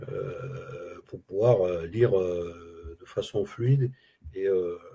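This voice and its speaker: Talking at a very slow pace, a man lets his loudness swing widely. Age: 60s. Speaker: retired Arabic language student. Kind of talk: interview testimony. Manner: halting, many hesitations.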